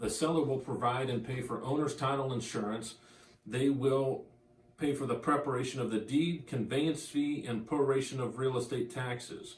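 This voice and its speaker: At a moderate pace, a man talks at a medium pitch with fairly even intonation in a plain, everyday voice. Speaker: auctioneer and real estate agent. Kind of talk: real estate auction promo, talking to camera.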